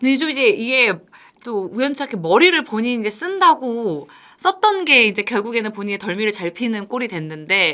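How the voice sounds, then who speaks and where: Bright, sharp tone with very wide pitch swings at a moderate pace, in a very clean recording over a silent background. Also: woman. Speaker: reporter co-host explaining baseball news. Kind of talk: news explainer chat.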